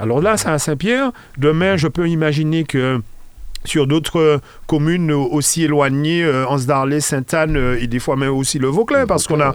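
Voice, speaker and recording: In an ordinary speaking voice, a man talks at a moderate pace and fairly high pitch, with ordinary pitch variation and very even loudness. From Martinique. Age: 50s. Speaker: local politician. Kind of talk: radio interview.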